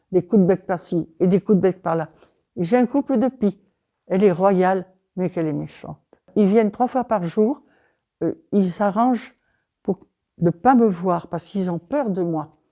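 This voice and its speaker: Dark and mellow in tone, a woman's medium-pitched voice moves at a fairly slow pace with long, frequent pauses. Her pitch varies in an ordinary way, and the sound is dry and close with no echo. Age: 80s+. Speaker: retired elderly woman. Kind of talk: interview testimony.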